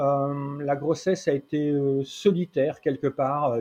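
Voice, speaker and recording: A man is talking. His voice has a dark, mellow tone. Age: 50s. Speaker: parenting consultant and trainer. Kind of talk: interview conversation. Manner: halting.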